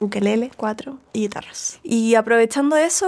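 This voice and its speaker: A woman with a Chilean accent and ordinary pitch variation, over noticeable background noise. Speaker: singer-songwriter. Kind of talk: interview conversation. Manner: casual, many fillers.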